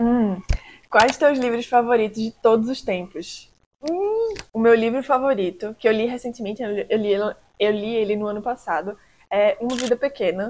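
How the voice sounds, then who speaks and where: A woman speaks at a fairly high pitch. She has a strong Recife accent. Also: ordinary pitch variation, moderate pace. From Recife, Brazil. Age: 20s. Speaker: vlogger. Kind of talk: casual Q&A vlog.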